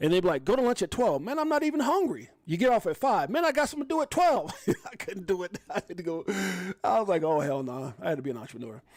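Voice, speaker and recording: Speaking at a very fast pace with an American accent, this voice swings very widely in pitch over noticeable background noise. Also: man, high pitch for a man. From New York, Brooklyn. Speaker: crypto livestream host. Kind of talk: live stream casual chat. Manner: animated.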